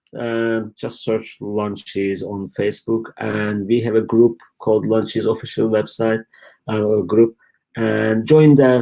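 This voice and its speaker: A man speaks with a Turkish accent at a medium pitch, his tone dark and mellow. The recording is very clean with a silent background. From Turkey. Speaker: e-commerce company founder. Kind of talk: live stream Q&A. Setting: live stream from home. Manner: casual, halting.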